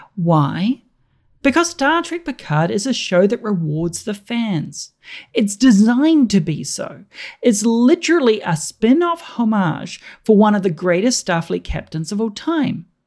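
A fairly high-pitched woman with a New Zealand accent, very wide pitch swings and a fairly slow pace, on a very clean recording with a silent background. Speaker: politics lecturer and podcaster. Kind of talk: scripted review segment.

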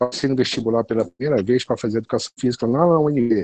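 The sound is dry and close, with no echo. A man speaks at a medium pitch in a dark, mellow tone, with ordinary pitch variation. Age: 50s. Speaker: physical education professional. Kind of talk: interview. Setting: online call.

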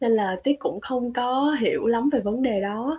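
Dark, mellow tone with lively intonation. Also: woman. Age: 20s. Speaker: student studying abroad. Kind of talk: casual interview.

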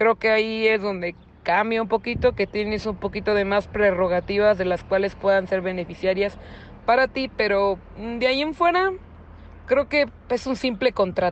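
A woman with a plain, everyday voice, medium pitch and ordinary pitch variation. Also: moderate pace. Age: 20s. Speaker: interviewee. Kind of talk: testimony.

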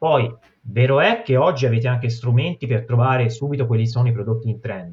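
A man speaks at a fairly quick pace with a medium pitch and fairly even intonation. His voice is somewhat breathy. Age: 30s. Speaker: dropshipping entrepreneur. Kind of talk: casual interview.

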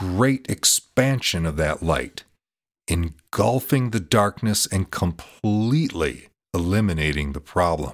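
An ordinary speaking voice from a man, lively in intonation and fairly slow, on a very clean recording with a silent background. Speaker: meditation podcast host. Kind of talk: guided meditation with slow visualization cues for breathing in suffering. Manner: slow, calm, soothing pacing with deliberate repetitions; gentle, warm instructional tone inviting the listener.

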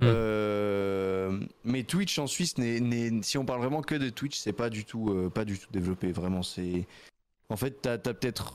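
The speaker has a plain, everyday voice and ordinary pitch variation at a fairly slow pace. The recording is very clean with a silent background. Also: man. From Switzerland, canton of Vaud (near Nyon). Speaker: streamer. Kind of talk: casual interview.

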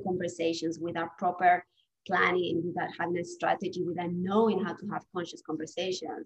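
Somewhat breathy, a woman with a Spanish accent speaks at a fairly quick pace. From Spain. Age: 40s. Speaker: divorce coach. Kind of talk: interview conversation.

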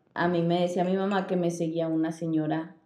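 Audible room echo hangs on this recording. The speaker is a woman. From northern Mexico, Chihuahua. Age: 20s. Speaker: podcast co-host. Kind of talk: casual storytelling chat.

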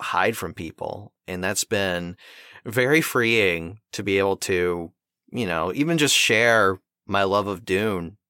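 A man's bright, sharp voice, fairly low in pitch with ordinary pitch variation, dry and close with no echo on a very clean recording with a silent background. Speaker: podcast host and voice actor. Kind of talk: casual interview chat.

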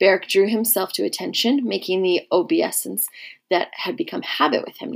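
The intonation rises and falls in a lively way. The reading aloud is done in a natural voice.

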